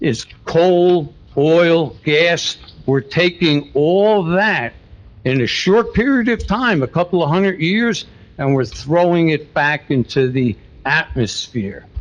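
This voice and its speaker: A man talks at a very slow pace in a high pitch. His intonation is lively while his loudness stays very even. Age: 70s. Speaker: resident speaking at public comment. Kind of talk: public comment at council meeting. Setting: township council meeting.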